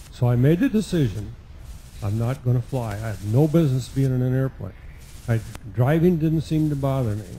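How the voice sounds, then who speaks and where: With long, frequent pauses breaking up a fairly quick pace, a man speaks in a dark, mellow, somewhat breathy tone with lively intonation. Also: medium pitch for a man. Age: 70s. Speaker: pilot in audience. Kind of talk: audience question.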